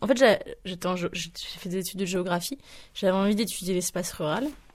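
On a very clean recording with a silent background, a woman speaks at medium pitch and a moderate pace. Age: 20s. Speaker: interviewee. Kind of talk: testimony. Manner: halting, many fillers.

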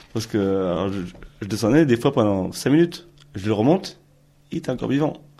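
This man speaks at a fairly quick pace with a medium pitch, a dark, mellow tone and lively intonation. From Ariège, southern France. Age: 20s. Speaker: interviewee recalling a rural childhood. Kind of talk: testimony.

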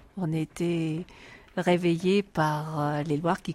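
A woman speaks at a very slow pace in a flat monotone. The sound is dry and close, with no echo. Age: 60s. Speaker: retiree, electro-sensitive. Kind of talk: interview testimony. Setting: inside a mountain cave.

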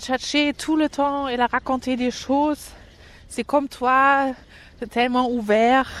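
This woman has a German accent and a high-pitched voice. Her pace is very slow. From East Berlin, Germany. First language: German (speaking French). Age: 30s. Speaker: interviewee. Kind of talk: interview. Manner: halting.

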